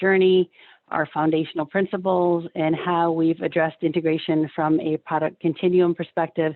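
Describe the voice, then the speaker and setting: A woman's fairly low-pitched, monotone, flat voice at a fairly quick pace. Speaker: social worker and health insurance director. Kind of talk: webinar presentation. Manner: fast; casual.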